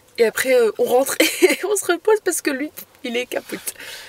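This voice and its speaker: The sound is dry and close with no echo, though noticeable background noise is present. A woman speaks with very wide pitch swings. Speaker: van-life vlogger. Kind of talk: travel vlog. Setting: outdoors on a hike. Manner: casual, hesitant with many fillers.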